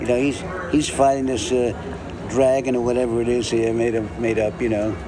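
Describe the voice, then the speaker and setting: Delivery is fairly quick, in a monotone with flat intonation. Audible room echo and noticeable background noise are present. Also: man, medium pitch for a man. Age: 80s+. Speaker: comic book artist. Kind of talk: casual chat. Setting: in person while drawing.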